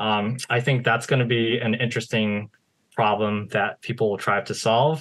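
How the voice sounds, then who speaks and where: At a moderate pace, a man delivers his words in a medium pitch with monotone, flat intonation. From United States. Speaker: SEO marketer. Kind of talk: interview. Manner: halting, many fillers.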